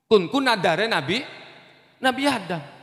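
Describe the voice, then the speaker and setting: Through noticeable background noise and audible room echo, a man uses a raised, projected voice at an extremely high pitch, with lively intonation and an animated tone. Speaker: Islamic preacher. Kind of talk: sermon.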